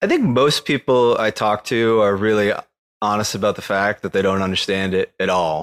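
A man with an unremarkable speaking voice, fairly even intonation and very even loudness, in a very clean recording with a silent background and a dry, close sound with no echo. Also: fairly low pitch for a man, moderate pace. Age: 30s. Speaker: crypto investor. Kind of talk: casual chat.

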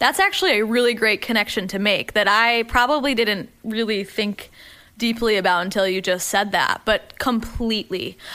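A woman's fairly high voice carries fairly even intonation as she talks at a moderate pace. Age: 20s. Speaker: personal trainer and fitness influencer. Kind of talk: casual chat. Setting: studio.

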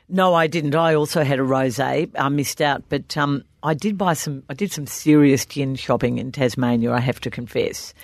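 A woman with an Australian accent and a very deep, low pitch talks at a moderate pace with ordinary pitch variation and hardly any pauses, over a quiet background. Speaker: podcast co-host, football journalist. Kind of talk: casual chat. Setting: studio.

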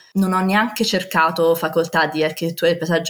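A woman's voice at a fairly low pitch. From Rome, Italy. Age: 20s. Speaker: landscape architect. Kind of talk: interview testimony. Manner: animated.

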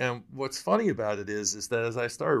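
In a very clean recording with a silent background, a man speaks with an American accent. His pace is fairly quick. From Michigan, US Midwest. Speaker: whiskey podcast host. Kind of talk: interview, casual chat. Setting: library. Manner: halting.

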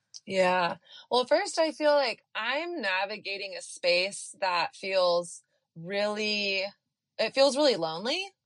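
This woman's pitch swings very widely. She talks at a very slow pace. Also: medium pitch for a woman, quiet background. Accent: American. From Texas. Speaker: author and dating coach. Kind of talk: interview, casual conversation.

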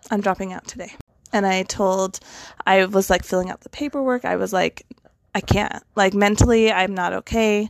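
A woman with an unremarkable speaking voice and an American accent talks at a moderate pace and medium pitch, with fairly even intonation, big swings in loudness, and a dry, close sound with no echo. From western United States. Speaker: divorced guest sharing her story. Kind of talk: personal testimony in interview.

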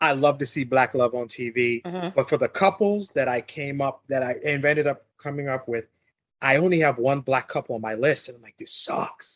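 A plain, everyday voice, a man with an American accent speaks at a fairly high pitch and moderate pace. His pitch variation is ordinary, and the sound is dry and close with no echo. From New York. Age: 40s. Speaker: podcast guest. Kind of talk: casual chat.

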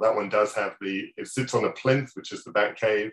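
A man with an English accent speaks at a fairly quick pace. His medium-pitched voice keeps a fairly even intonation. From England. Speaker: toy designer. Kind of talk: interview.

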